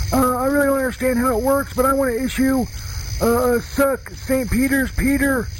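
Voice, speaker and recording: A man speaks at a moderate pace in an extremely high, monotone, flat voice over noticeable background noise. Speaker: voicemail caller character. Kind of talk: comedic voicemail message, rambling and profane. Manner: rambling, hesitant, stoned-sounding, filler-heavy.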